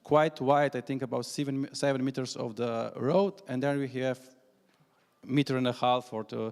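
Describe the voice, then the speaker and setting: With a Slovenian accent, a man talks at a medium pitch and a moderate pace, his intonation fairly even. The recording is very clean, with a silent background. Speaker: national cycling coordinator. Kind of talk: conference presentation. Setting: conference hall with audience. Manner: halting, many fillers.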